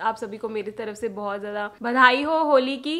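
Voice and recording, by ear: A woman talks at a moderate pace with a fairly bright tone.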